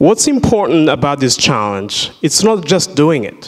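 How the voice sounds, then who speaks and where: The man's pitch swings very widely. He talks at a fairly slow pace. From Burundi. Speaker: surgical worker and invited speaker; speaker. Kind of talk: inspirational talk to school students. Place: church. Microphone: handheld.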